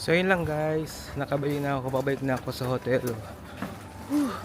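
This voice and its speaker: Noticeable background noise sits behind a man. He talks at a moderate pace with fairly even intonation. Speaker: travel vlogger. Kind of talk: casual vlog narration. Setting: outdoors walking back to hotel. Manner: quiet, low voice.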